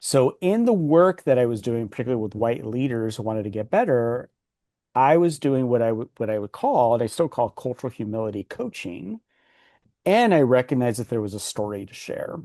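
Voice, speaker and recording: Against a quiet background, a man with a Californian accent talks at a fairly quick pace in a dark, mellow tone, his intonation lively and his loudness swinging widely, in a dry, close sound with no echo. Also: medium pitch for a man. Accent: American English, Californian. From US West Coast, Los Angeles. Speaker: executive coach and author. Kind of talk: interview.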